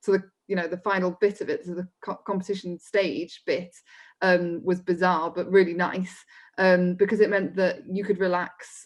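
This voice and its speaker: A woman with a Welsh accent talks at a medium pitch in a monotone, flat intonation. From mid Wales. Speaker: folk musician. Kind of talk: interview.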